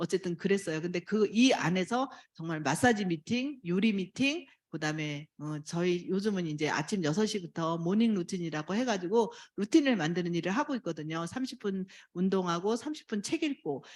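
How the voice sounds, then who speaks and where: An unremarkable speaking voice moves at a moderate pace. The intonation is lively. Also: woman, medium pitch for a woman. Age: 60s. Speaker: network marketing distributor. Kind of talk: testimony speech.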